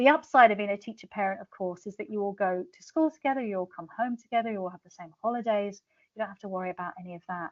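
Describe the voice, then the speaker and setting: A woman at medium pitch, very fast pace, ordinary pitch variation and big swings in loudness. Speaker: international teacher and author. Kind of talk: webinar presentation.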